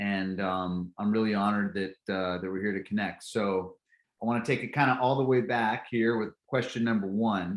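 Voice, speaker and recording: In a normal speaking voice with an American accent, the speaker goes at a moderate pace with fairly even intonation on a very clean recording with a silent background. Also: man. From California. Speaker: podcast host. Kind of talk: podcast interview.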